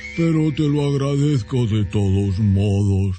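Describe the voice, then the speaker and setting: This man adopts a put-on character voice. It is medium in pitch and moves fairly slowly. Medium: read story. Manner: plaintive.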